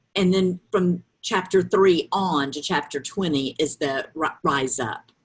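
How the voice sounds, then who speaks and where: The speaker talks at a very slow pace in a strong Southern US accent. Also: woman. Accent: thick Southern drawl. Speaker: author and grief counselor. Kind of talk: interview.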